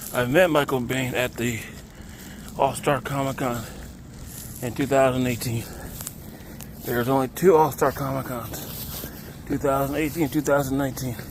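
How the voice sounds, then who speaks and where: Pausing often and at length, a man talks with fairly even intonation over noticeable background noise. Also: medium pitch for a man, moderate pace. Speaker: vlogger. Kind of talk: casual vlog narration. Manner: casual.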